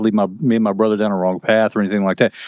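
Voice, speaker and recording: With an American accent, a man speaks at medium pitch in a dry, close sound with no echo. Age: 60s. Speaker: retired federal marshal. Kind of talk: testimony interview. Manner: halting, many repeated words.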